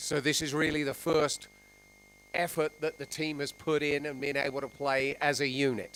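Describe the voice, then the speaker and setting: A man with an English accent, fairly high-pitched and monotone, at a moderate pace, with big swings in loudness and noticeable background noise. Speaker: sports interviewer. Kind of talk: post-match interview.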